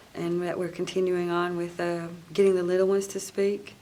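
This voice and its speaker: A woman with an American accent talks at a moderate pace and medium pitch in a monotone, flat intonation. Noticeable background noise sits behind her. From western North Carolina (Cherokee). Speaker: singer and cultural preservationist. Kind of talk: interview conversation.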